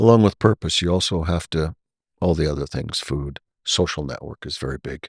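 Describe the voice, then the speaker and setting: A man's very deep, low voice with vocal fry, ordinary pitch variation, big swings in loudness and a fairly quick pace, on a very clean recording with a silent background and a dry, close sound with no echo. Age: 60s. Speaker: podcast host and retired airline pilot, flight instructor. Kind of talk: casual interview conversation.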